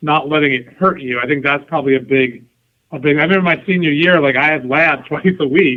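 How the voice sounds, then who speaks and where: A man's fairly high, fairly even-toned delivery at a fairly quick pace, a plain, everyday voice with an American accent. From New York and New Jersey. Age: 40s. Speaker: soccer club president. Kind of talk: podcast interview. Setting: phone call.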